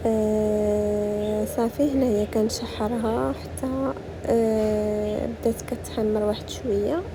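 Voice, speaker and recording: A woman with a Moroccan accent speaks very slowly at a very even loudness, with audible room echo and noticeable background noise. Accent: Moroccan Arabic (Darija). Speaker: cooking vlogger. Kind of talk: cooking tutorial. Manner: casual, hesitant with fillers.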